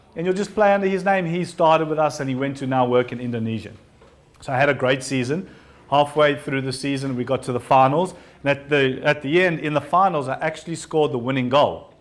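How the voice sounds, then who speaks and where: A man with a strong South African accent talks at a fairly quick pace. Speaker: entrepreneur and invited speaker. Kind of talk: talk to an audience.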